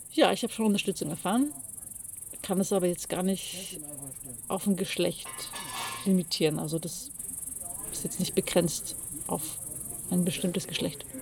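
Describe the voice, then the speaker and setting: With music in the background, a woman of medium pitch speaks at a moderate pace, using ordinary pitch variation and long, frequent pauses. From Bavaria, Pullach near Munich. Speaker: cabaret artist and poet. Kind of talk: interview. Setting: mountain pasture.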